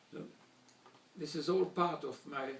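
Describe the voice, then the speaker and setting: With a German accent, a man speaks very slowly in a fairly high pitch, his intonation lively. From Slovakia, Bratislava (then Czechoslovakia), later Hungary. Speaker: Holocaust survivor. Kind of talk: testimony speech. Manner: formal.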